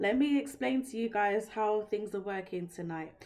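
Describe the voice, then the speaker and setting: A woman with a British accent, fairly high pitch and a fairly slow pace. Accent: British accent, remarked on by viewer. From London, England. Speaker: tarot reader. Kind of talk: live-stream tarot reading. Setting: live stream. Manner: casual, conversational.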